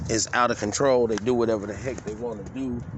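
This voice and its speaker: A man with fairly even intonation speaks at a fairly quick pace while noticeable background noise plays underneath. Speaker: vlogger. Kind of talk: casual vlog rant. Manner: fast; halting.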